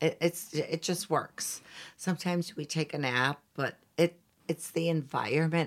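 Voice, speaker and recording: A woman with an American accent has an ordinary speaking voice with fairly low pitch. She speaks at a fairly slow pace with fairly even intonation. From Chicago, US Midwest. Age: 60s. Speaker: interior designer. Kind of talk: casual interview chat.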